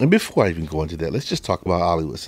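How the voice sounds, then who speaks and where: A man with an American accent. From US South, Chattanooga, Tennessee. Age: 60s. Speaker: podcast host, vocal coach. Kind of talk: podcast monologue. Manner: casual, storytelling.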